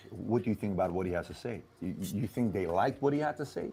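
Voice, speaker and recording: At a very fast pace, a man speaks in an animated tone with very wide pitch swings. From Iran. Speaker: political commentator. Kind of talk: video commentary.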